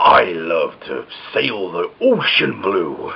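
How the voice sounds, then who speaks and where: A put-on character voice at a very slow pace. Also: man. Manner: exaggerated, arr-ing.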